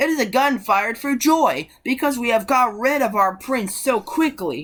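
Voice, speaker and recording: At a moderate pace, this put-on character voice has lively intonation and very even loudness. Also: woman, high pitch for a woman. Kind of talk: bedtime story. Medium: read story. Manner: scornful, self-assured.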